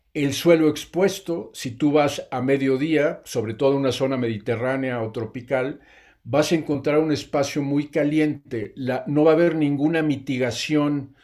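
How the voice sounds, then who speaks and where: In a very clean recording with a silent background, an ordinary speaking voice keeps a moderate pace and ordinary pitch variation. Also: man. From Mexico, Oaxaca. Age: 60s. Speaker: regenerative farmer. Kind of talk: interview.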